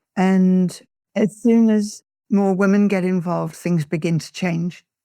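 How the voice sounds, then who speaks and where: Her English accent comes through at a fairly slow pace, with medium pitch for a woman and a dark, mellow tone. The recording is very clean, with a silent background. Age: 80s+. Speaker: peace activist. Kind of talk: interview.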